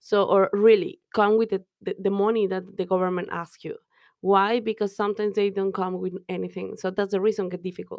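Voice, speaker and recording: A woman with a Mexican accent speaks fairly quickly at a medium pitch, her intonation monotone and flat. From Mexico. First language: Spanish. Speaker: business owner and immigrant. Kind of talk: casual interview chat.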